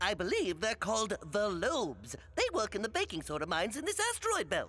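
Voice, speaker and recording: A cartoonish character voice moves at a fairly quick pace. Background noise is clearly heard. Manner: dry, slightly put-upon.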